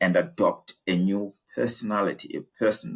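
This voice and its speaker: With music in the background, a man with a South African accent speaks at a moderate pace in a fairly low pitch, his intonation lively. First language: isiZulu. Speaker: executive coach. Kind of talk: interview conversation.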